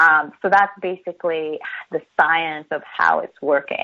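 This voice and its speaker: In a plain, everyday voice, a woman speaks at a fairly slow pace with a fairly low pitch. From New Jersey. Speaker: chiropractor. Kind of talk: interview. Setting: radio show.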